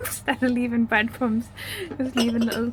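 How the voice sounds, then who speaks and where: Noticeable noise sits behind the voice. The delivery is monotone and flat, at a fairly quick pace. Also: woman. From northern England, Newcastle. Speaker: travel vlogger. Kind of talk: casual chat.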